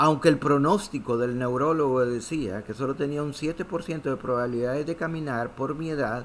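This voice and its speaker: A fairly quick delivery in a normal speaking voice, with ordinary pitch variation. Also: man, fairly high pitch for a man, hardly any pauses. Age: 60s. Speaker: pastor. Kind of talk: sermon.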